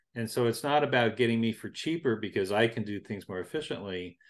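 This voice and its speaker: Against a quiet background, a man with a normal speaking voice talks at a fairly quick pace and medium pitch. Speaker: interviewer host. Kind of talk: interview conversation.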